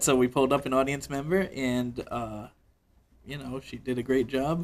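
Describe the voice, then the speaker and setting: Medium pitch, fairly even intonation and a moderate pace from a man with a normal speaking voice, plus big swings in loudness. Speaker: sideshow performer. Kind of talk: interview answer, casual conversation.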